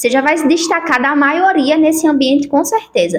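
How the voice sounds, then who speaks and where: A woman talks at a moderate pace. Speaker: self-help youtuber. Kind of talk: motivational talk to camera.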